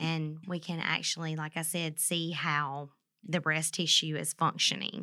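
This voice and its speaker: Delivered at a fairly slow pace in a Southern US accent, the voice has a bright, sharp tone and monotone, flat intonation on a very clean recording with a silent background. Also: woman, very deep, low pitch for a woman. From Mississippi. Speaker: nuclear medicine technologist. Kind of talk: interview about health topic.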